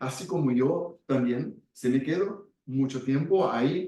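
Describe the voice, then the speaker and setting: This man has a Brazilian accent and a dark, mellow tone, pitched fairly high. He speaks at a very slow pace with ordinary pitch variation. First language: Portuguese (speaking Spanish). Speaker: speaker on Gestalt and community work. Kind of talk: talk with audience. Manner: halting.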